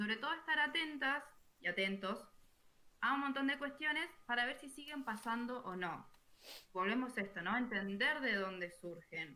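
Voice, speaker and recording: At a moderate pace, a woman speaks in a high pitch with lively intonation. Her tone is bright and sharp. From Argentina, small town. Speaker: podcast co-host. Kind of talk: live-streamed panel discussion.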